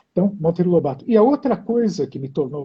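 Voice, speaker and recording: Fairly quick speech from a man, high-pitched and with very wide pitch swings. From Brazil, São Paulo, child of Hungarian immigrants. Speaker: poet and translator. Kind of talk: interview conversation. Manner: hesitant, repeats words.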